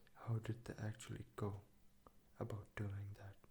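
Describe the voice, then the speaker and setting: Whispering at a very slow pace, the speaker is soft-spoken. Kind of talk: soft-spoken ASMR book reading to help sleep. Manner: soft-spoken, whispered.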